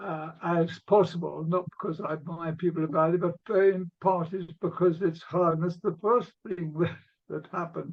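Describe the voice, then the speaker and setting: Monotone, flat delivery at a moderate pace, with an English accent. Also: man, high pitch for a man. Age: 80s. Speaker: documentary filmmaker and author. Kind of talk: talk to a discussion group. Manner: halting.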